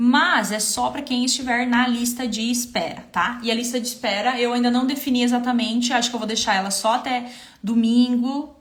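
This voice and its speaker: A high-pitched woman speaks at a moderate pace with fairly even intonation and hardly any pauses. There is noticeable background noise and audible room echo. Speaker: visual merchandising consultant and trainer. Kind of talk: live stream Q&A with sales pitch. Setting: Instagram live stream.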